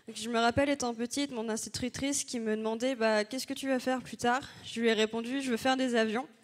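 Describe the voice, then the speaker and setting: A woman's high-pitched voice with monotone, flat intonation. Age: 20s. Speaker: engineering student. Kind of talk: conference talk. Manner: hesitant, many fillers.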